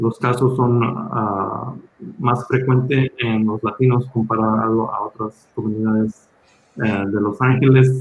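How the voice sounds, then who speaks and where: The man speaks at a very slow pace. His intonation is fairly even. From Los Angeles, raised there after emigrating from Mexico at six. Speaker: hospital physician. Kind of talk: panel talk with slides at a community health town hall. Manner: halting, many filler sounds.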